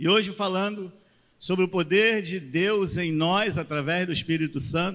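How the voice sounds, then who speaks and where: Speaking in a Rio de Janeiro accent, a man with a high pitch talks at a fairly slow pace with ordinary pitch variation. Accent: carioca. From Rio de Janeiro, Brazil. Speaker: pastor. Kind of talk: sermon. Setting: church.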